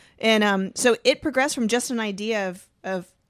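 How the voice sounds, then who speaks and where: A woman speaks with a Southern US accent. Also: very clean recording, silent background. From Georgia, US South. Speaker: mountain bike instructor. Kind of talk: casual chat.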